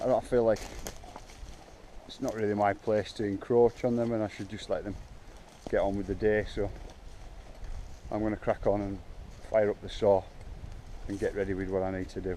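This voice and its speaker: Quiet and fairly low in pitch, a man speaks in a monotone, flat intonation at a fairly quick pace, broken by long, frequent pauses. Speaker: bike park owner vlogger. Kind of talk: casual vlog walkthrough. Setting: outdoors in woods. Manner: halting, many fillers; talking quietly.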